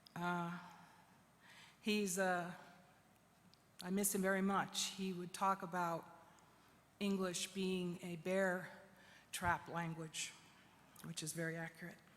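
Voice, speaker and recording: The voice is a flat monotone, heard with audible room echo. It moves at a very slow pace with long, frequent pauses. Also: woman, medium pitch for a woman. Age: 60s. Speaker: poet and activist. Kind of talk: conference speech.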